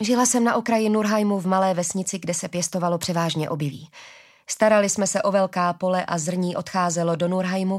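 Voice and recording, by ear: The speaker reads aloud in a natural voice. Intonation is fairly even.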